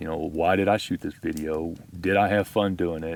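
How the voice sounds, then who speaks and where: A man with a Texas accent and a very deep, low pitch talks at a fairly quick pace with fairly even intonation, on a very clean recording with a silent background. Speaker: outdoor video creator. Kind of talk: casual chat. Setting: outdoors at campfire.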